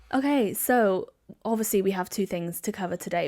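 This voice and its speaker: A Welsh accent on a very clean recording, silent background. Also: woman. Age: 20s. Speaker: podcast host. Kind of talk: casual family interview. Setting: family home, video recorded.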